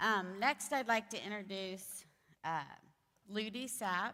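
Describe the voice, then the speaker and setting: The voice has an American accent and a bright, sharp tone. Its pitch variation is ordinary. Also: woman. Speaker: event organizer. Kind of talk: event introduction. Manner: loud.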